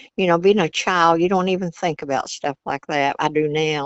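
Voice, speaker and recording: Here a woman talks in a Virginia accent. Her pitch varies in an ordinary way. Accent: Southern US, Virginia. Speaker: grandmother. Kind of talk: interview storytelling. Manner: folksy, conversational.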